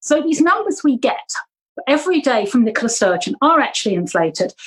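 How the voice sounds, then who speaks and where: A woman's high-pitched voice at a moderate pace. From Jersey, Channel Islands. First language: German. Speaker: local councillor and political candidate. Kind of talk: interview.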